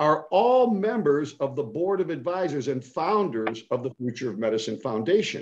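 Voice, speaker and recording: With hardly any pauses, a man speaks in an animated, enthusiastic tone at a fairly high pitch, his voice swinging very widely. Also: moderate pace. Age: 70s. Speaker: foundation executive and fundraiser. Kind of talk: casual interview chat.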